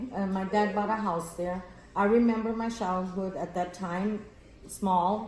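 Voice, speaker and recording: In a room with audible echo and noticeable background noise, a woman at a medium pitch speaks fairly slowly in a flat, monotone way. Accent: American. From Texas, Rio Grande Valley (Roma area). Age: old. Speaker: grandmother interviewed by granddaughter. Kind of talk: casual family interview.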